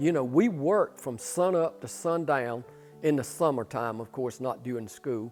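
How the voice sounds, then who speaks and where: Someone with a Southern US accent talks at a moderate pace with lively intonation while music plays in the background. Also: man, medium pitch for a man. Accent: Southern US (Georgia). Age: 70s. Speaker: pole vaulter and retired coach. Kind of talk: interview.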